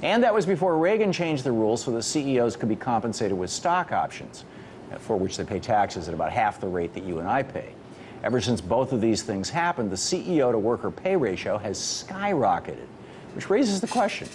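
Light background noise sits behind the recording. A man speaks at a fairly quick pace. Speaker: TV news host. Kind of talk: commentary. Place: studio. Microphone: lapel.

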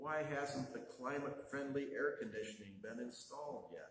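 A somewhat breathy man with audible room echo and light background noise. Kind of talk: chalice lighting reading in a church service. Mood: wry, gently humorous. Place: church. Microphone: camera far.

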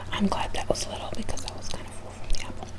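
Over loud background noise, a woman whispers in a soft-spoken way at a very fast pace. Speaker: vlogger. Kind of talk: casual vlog chat. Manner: soft close ASMR whisper. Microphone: webcam.

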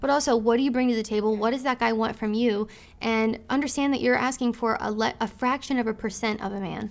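At a very fast pace, a woman speaks in a fairly high pitch with fairly even intonation. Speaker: YouTube host interviewing a group; guest. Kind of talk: casual group discussion. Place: office.

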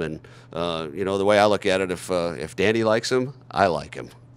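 A man's fairly low voice at a fairly quick pace. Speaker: radio play-by-play announcer for a basketball team. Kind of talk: interview answer. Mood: upbeat, pleased. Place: studio. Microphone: handheld.

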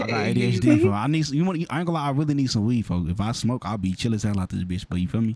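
Very wide pitch swings run through a man's speech at a fairly quick pace. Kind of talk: casual street slang, heavy profanity. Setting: outdoors on a street. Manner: fast talker, high energy; fast talker.

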